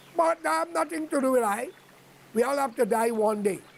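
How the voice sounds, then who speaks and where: High pitch and lively intonation from a man at a moderate pace, with noticeable background noise. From Guyana. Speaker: online commentator. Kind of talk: monologue address to viewers.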